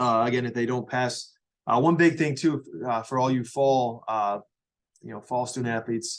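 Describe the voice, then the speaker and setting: A man's medium-pitched voice with fairly even intonation and long, frequent pauses. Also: fairly quick pace. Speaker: high school athletic director. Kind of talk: informational briefing. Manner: fast; halting, many fillers.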